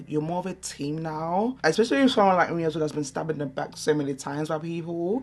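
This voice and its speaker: With a London accent, this woman talks at a fairly quick pace in a very deep, low voice with ordinary pitch variation. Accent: London English with Nigerian heritage. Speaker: beauty vlogger. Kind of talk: casual chat. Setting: at home. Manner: loud.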